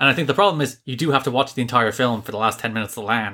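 A man talks at a very fast pace in an Irish accent. His tone is bright and sharp. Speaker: podcast co-host, film reviewer. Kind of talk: casual review chat.

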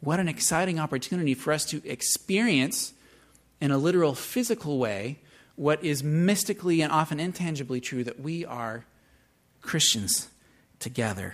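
A man with an American accent, very wide pitch swings and a moderate pace, on a very clean recording with a silent background. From US Pacific Northwest, Seattle. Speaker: pastor. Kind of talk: sermon.

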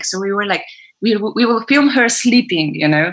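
A woman speaks with a Polish accent. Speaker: film producer. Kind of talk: interview. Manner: halting.

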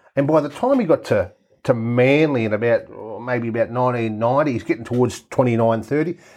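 The speaker talks at a very fast pace in an Australian accent. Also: man, medium pitch for a man. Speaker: rugby league pundit. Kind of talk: casual chat.

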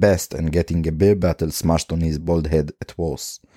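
Speaking at a moderate pace with an Israeli accent, a man has a very deep, low voice with a dark, mellow tone, recorded dry and close with no echo on a very clean, silent background. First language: Hebrew. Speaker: podcast host. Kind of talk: solo monologue podcast.

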